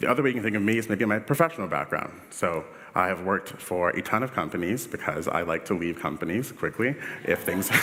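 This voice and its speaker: A man with a Washington DC accent talks very fast at a fairly low pitch, his intonation lively. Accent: Washington DC American. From US, Washington DC. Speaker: UX director, conference speaker. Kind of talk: conference talk. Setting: stage with audience. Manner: casual, filler-heavy.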